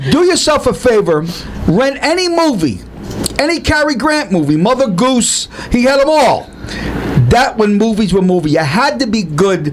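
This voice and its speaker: Over noticeable background noise, a high-pitched man speaks at a moderate pace, his pitch swinging very widely while his loudness stays very even. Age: 60s. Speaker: co-host of a variety talk show. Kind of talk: casual chat. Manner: animated.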